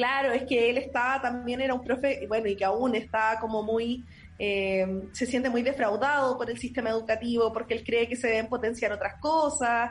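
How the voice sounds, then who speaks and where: A woman speaks at a moderate pace with hardly any pauses. Her voice is high-pitched, with very even loudness and fairly even intonation. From Chile, Linares (Maule). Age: 20s. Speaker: primary school teacher and constituent candidate. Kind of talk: interview.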